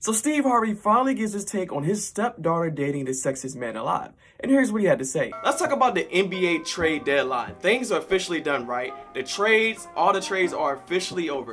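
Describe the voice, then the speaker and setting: A man with a high pitch, an upbeat tone, a very fast pace, and very wide pitch swings, over music in the background. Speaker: TV reporter and digital host. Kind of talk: casual talk to camera, vlog style. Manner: conversational, upbeat.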